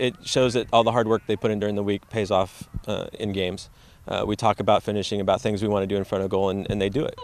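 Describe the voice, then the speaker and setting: At a very fast pace, a man speaks in a monotone, flat intonation with fairly low pitch and a dry sound with no echo. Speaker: high school soccer coach. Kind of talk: interview. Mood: calm, appreciative. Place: open country.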